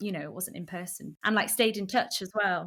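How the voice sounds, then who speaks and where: Speaking with a Welsh accent, a woman uses a bright, sharp tone, fairly even intonation and a fairly quick pace. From Wales (rural village, family from Anglesey). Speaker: singer-songwriter and actor. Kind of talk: casual interview chat.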